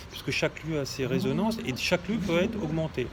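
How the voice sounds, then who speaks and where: A moderate pace over noticeable background noise. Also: man. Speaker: shamanism teacher and healer. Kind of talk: monologue video talk. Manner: hesitant, many fillers.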